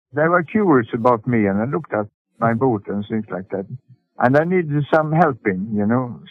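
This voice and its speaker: This man has a Swedish accent and a medium pitch. He speaks at a moderate pace with lively intonation. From Sweden. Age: 80s+. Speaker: sailor and boatbuilder. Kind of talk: interview answer.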